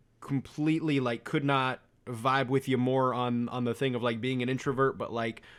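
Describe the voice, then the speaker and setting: A man's medium-pitched, a normal speaking voice at a fairly quick pace, in a very clean recording with a silent background. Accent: American. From United States. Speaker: podcast host. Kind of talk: casual chat.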